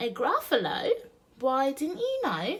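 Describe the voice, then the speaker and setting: A put-on character voice with a high pitch speaks at a fairly slow pace. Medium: read story.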